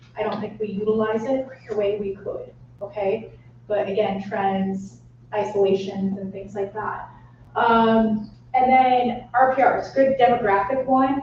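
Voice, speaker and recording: With audible room echo, a woman of fairly high pitch talks at a fairly slow pace with fairly even intonation and big swings in loudness. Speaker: real estate trainer. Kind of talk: training workshop.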